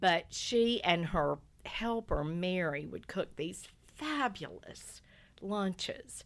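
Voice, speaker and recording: A woman with a North Carolina accent talks at a very slow pace. Her medium-pitched voice carries lively intonation. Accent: US Southern (North Carolina). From North Carolina, Lumberton. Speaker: guest storyteller. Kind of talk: casual interview chat.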